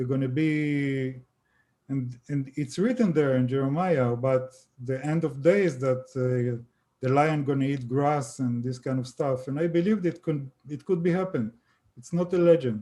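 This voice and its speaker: With an Israeli accent, a man speaks in a fairly high, dark and mellow tone. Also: ordinary pitch variation, moderate pace. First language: Hebrew. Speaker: author on extraterrestrial contact. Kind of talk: interview. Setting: live stream video call. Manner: halting.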